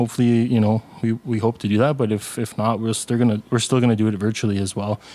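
Very fast delivery with fairly even intonation and a dark, mellow tone. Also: man. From Sudbury, Ontario. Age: 30s. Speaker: community educator and helper. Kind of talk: casual panel discussion. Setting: studio, around a table.

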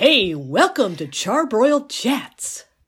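A put-on character voice at a fairly high pitch jumps through very wide pitch swings. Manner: cheerful, welcoming.

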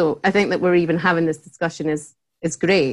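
A woman speaks in a Scottish accent. Her pitch is fairly low, with ordinary variation. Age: 30s. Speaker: head of customer relations at a tech company. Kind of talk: casual interview chat.

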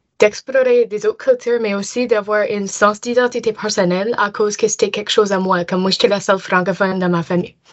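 A woman with an English accent talks at a medium pitch. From Nova Scotia (Dartmouth, Halifax area). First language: English (speaking French). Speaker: university student. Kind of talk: casual interview.

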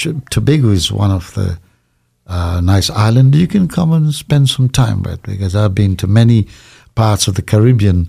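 A man's somewhat breathy voice, dark and mellow with a fairly low pitch, moves at a moderate pace with lively intonation. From Trinidad. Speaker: pastor. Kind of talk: interview.

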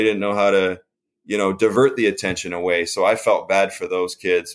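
The man has a normal speaking voice, a fairly low pitch, and ordinary pitch variation. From upstate New York. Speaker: rock musician. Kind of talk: interview testimony. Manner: casual, many fillers.

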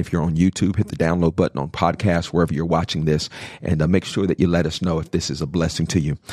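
This man's voice is very deep and low. He talks at a very fast pace. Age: 40s. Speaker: podcast host and pastor. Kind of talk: casual chat. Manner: animated.

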